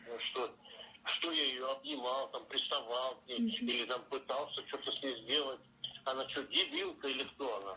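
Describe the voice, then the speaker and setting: This man has a plain, everyday voice at a medium pitch with ordinary pitch variation. He speaks at a moderate pace. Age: 60s. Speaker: taxi driver. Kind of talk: phone interview answer.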